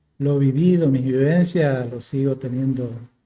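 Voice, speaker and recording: A man's voice sounds somewhat breathy, with a dark, mellow tone. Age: 60s. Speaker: war veteran. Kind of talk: interview testimony. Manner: halting, with fillers.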